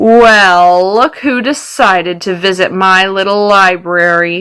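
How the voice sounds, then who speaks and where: A woman puts on a character voice at a medium pitch. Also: fairly slow pace. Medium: read story. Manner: menacing, mocking.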